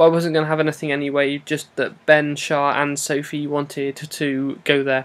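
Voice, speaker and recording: The speaker has an English accent and keeps a moderate pace. There are hardly any pauses. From England. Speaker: vlogger. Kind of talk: casual vlog monologue. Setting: at home wrapped in duvet.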